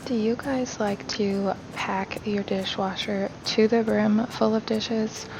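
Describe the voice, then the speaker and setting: Soft-spoken woman at a fairly high pitch, very slow pace with hardly any pauses, monotone, flat intonation, and noticeable background noise. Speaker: home vlogger. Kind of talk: voiceover narration. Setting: recorded at home in dining room.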